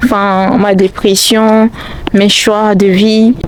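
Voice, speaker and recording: A non-native accent over noticeable background noise. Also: woman. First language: not French (speaking French). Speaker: YouTuber, student. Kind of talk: vlog monologue. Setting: outdoors, walking. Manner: halting.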